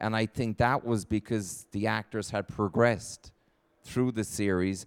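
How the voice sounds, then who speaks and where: A man with a Kerry accent speaks at a moderate pace in a fairly low, flat monotone. The recording is very clean with a silent background and a dry, close sound with no echo. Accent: Irish (Kerry). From Ireland, County Kerry. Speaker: actor. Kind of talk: interview on stage. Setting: stage with audience.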